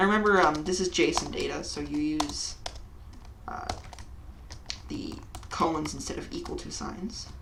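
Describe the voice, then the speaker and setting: Quiet speech moves at a moderate pace with long, frequent pauses amid noticeable background noise. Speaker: programming tutorial youtuber. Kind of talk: tutorial. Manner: uneven volume.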